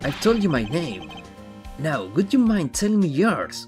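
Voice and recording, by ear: Over faint music in the background, a man puts on a raspy, high-pitched character voice, with very wide pitch swings at a moderate pace.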